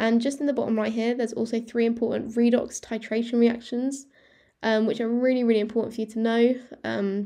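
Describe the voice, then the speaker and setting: A woman with a British accent speaks very fast, her voice dark and mellow yet fairly high in pitch. Her intonation is flat and monotone, over a quiet background. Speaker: student revision youtuber. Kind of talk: tutorial. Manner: halting, with fillers and self-corrections.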